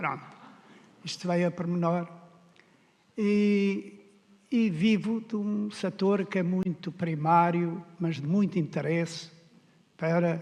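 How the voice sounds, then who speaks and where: A man with a high voice and ordinary pitch variation talks at a very slow pace, leaving long, frequent pauses. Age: 70s. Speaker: political candidate, farmer. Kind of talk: debate opening statement. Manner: hesitant.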